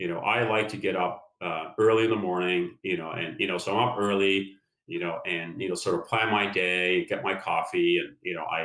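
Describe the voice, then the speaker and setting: Very deep and low in pitch, a man's voice keeps a moderate pace with hardly any pauses. His intonation is fairly even. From Norway, west side of Oslo. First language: Norwegian. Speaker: business executive, former engineer. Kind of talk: interview. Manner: hesitant, heavy use of fillers.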